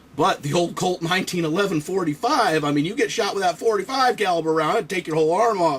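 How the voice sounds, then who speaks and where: A man speaks at a very fast pace with a high pitch, an animated tone and lively intonation. Noticeable background noise runs behind him. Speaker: toy reviewer and Marine veteran. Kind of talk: casual build commentary.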